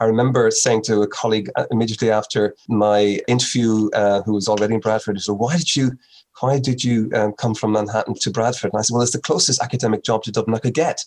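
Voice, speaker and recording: This speaker talks at a very fast pace with fairly even intonation, in a Meath Irish accent. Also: man. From Ireland, Navan, County Meath. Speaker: dermatology professor. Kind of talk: interview.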